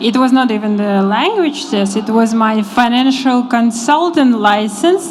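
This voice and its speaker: A woman with a fairly high pitch and ordinary pitch variation at a fairly slow pace, hardly any pauses, audible room echo and noticeable background noise. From Kazakhstan. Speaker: financial consultant. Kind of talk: panel interview.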